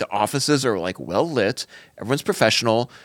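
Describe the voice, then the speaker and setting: A man with medium pitch, lively intonation and a normal speaking voice. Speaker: podcast co-host. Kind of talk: casual banter.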